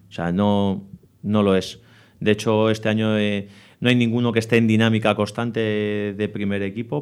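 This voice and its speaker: At a moderate pace, a man talks with fairly low pitch. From Spain, Madrid area (Leganés). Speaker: youth football coach. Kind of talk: interview.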